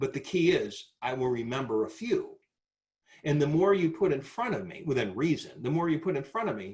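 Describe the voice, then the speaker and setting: Talking at a fairly quick pace, a man with a somewhat breathy, fairly high voice and an animated tone makes very wide pitch swings. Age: 60s. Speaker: sales trainer. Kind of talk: webinar presentation.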